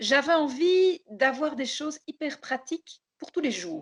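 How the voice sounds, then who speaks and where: The sound is dry and close, without echo. A woman talks fairly slowly. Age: 60s. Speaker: florist giving a customer testimonial. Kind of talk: testimony. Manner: hesitant, many fillers and repetitions.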